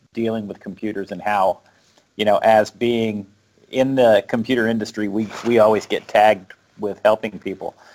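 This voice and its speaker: A man with an American accent and fairly low pitch talks at a moderate pace. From South Florida. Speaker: tech show host. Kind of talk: casual interview. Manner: laughs often.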